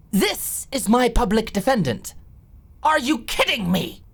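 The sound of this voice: Putting on a character voice, a woman speaks at a fairly slow pace with big pitch swings, vocal fry and a slightly husky edge. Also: fairly high pitch for a woman.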